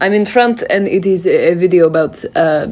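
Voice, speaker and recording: With a Russian accent, a woman speaks fairly slowly at a medium pitch and ordinary pitch variation. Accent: mild Russian. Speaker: video creator. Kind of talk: casual, hesitant with many fillers.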